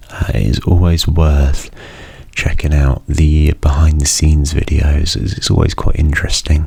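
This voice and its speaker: Soft-spoken and monotone, a man with a very deep, low pitch talks at a moderate pace with flat intonation amid noticeable background noise. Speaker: university student. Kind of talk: ASMR soft-spoken rambling.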